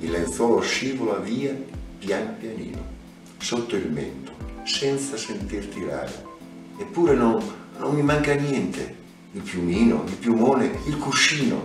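A man speaking at a fairly slow pace with long, frequent pauses, audible room echo and clear music in the background. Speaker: poetry reader. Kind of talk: poetry reading, Italian translation. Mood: tender, melancholic. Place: home room.

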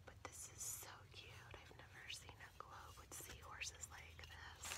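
Whispering at a fairly slow pace. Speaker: ASMR creator. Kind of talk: ASMR unboxing talk. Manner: whispered. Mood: delighted. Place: home room. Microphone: phone near.

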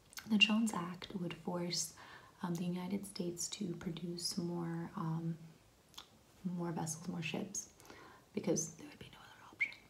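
A soft-spoken woman's gentle, fairly low voice, at a moderate pace with fairly even intonation, long and frequent pauses, and light background noise. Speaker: explainer vlogger. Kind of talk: explainer talk to camera on policy. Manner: soft-spoken, gentle ASMR voice. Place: home room. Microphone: phone near.

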